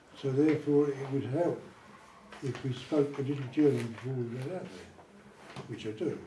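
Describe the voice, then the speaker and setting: A man talks at a fairly high pitch and a moderate pace. Audible room echo is present. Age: 70s. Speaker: army veteran. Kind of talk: interview with school pupils. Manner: chatty.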